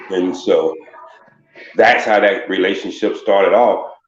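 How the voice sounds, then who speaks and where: Audible room echo carries a man's voice as he talks at a fairly slow pace. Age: 60s. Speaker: caller. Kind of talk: casual chat.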